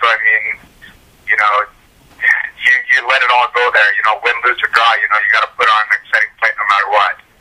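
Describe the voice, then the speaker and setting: A man talks at a fairly quick pace. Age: 30s. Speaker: mixed martial arts fighter. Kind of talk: interview. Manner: casual, many fillers.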